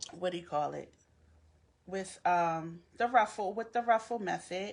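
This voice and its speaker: A woman with a Philadelphia accent speaks fairly slowly at a medium pitch, with ordinary pitch variation and big swings in loudness. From Philadelphia, US. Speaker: crafter. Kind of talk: live craft tutorial. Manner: halting, many fillers.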